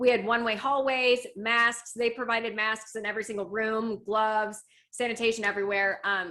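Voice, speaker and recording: This woman sounds upbeat, with a bright, sharp tone, a fairly high pitch and a fairly quick pace. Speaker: radio personality. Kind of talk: casual chat. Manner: upbeat and quick.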